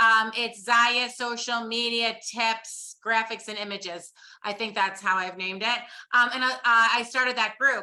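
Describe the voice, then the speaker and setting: Woman with a New York accent, a bright, sharp and animated tone, a fairly high pitch and a fairly slow pace. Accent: New York City. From upstate New York. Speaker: social media coach. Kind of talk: webinar presentation.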